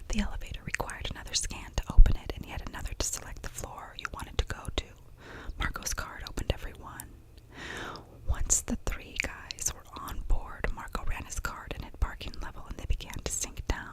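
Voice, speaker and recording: A woman whispers at a fairly quick pace with big swings in loudness and noticeable background noise. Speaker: ASMR artist. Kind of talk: whispered audiobook reading for sleep and relaxation. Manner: whispered, soft.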